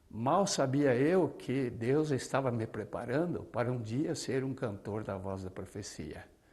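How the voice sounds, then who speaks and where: A man's medium-pitched voice, lively in intonation and fairly slow, with audible room echo. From southern Brazil, Paraná. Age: 70s. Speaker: retired pastor and singer. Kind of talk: testimony.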